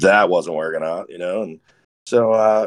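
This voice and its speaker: In a dry, close sound with no echo, a man with an unremarkable speaking voice and a fairly low pitch talks at a moderate pace. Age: 40s. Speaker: off-road enthusiast. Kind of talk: casual chat.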